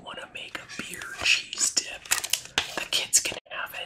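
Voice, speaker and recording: A woman whispers in a relaxed tone at a very slow pace, with noticeable background noise behind her. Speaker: ASMR creator. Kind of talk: ASMR book review. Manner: soft-spoken, relaxed.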